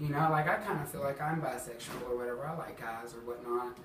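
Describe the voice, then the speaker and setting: A man with an Alabama accent speaks at a fairly quick pace with ordinary pitch variation. Room echo and background noise are both noticeable. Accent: Southern US (Alabama). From US South, Huntsville, Alabama. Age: 20s. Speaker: drag performer sharing bullying story. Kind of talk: personal testimony interview. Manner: casual, many fillers (um, like).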